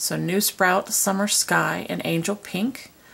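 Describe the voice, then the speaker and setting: A woman's fairly low voice with vocal fry. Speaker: planner decorating vlogger. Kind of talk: casual talk to camera. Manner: quiet. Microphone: camera far.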